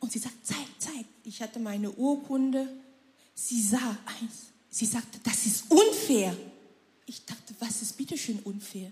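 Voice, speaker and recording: A woman's normal speaking voice, with ordinary pitch variation and big swings in loudness. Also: fairly high pitch for a woman, fairly slow pace. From Cameroon. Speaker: churchgoer sharing testimony. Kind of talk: testimony.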